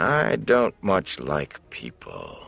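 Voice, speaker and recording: A man puts on a character voice. His delivery is raspy. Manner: unemotional.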